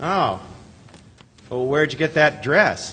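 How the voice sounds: A put-on character voice moves at a slow pace. The tone is bright and sharp, with big pitch swings. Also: man, fairly high pitch for a man.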